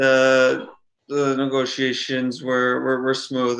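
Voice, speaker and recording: Bright and sharp in tone, a man speaks in a flat monotone against a quiet background. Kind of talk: interview answer. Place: home room. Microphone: video call.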